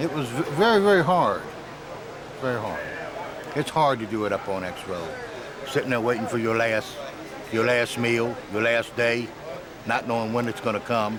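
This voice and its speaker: A man talks at a moderate pace with a medium pitch, ordinary pitch variation, and long, frequent pauses. Noticeable background noise and audible room echo fill the recording. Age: 60s. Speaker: prison inmate. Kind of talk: interview.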